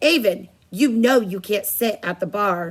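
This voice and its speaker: A woman puts on a raspy character voice at a medium pitch. Her intonation is lively. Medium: read story.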